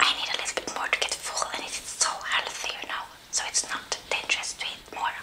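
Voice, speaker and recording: A woman whispers at a fairly quick pace. She is soft-spoken. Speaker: ASMR eating creator. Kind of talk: casual vlog chat. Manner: soft ASMR whisper, close to mic. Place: home room.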